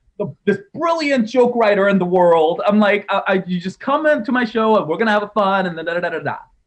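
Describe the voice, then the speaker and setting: A man's high-pitched voice at a very fast pace, with hardly any pauses. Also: lively intonation. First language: not English. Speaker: stand-up comedian and author. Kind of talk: interview.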